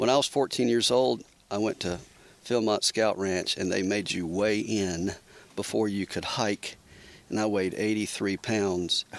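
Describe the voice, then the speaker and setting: Fairly low male pitch in an ordinary speaking voice, moderate in pace, the intonation fairly even. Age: 60s. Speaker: podcast guest. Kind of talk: casual chat. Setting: back porch of a cabin.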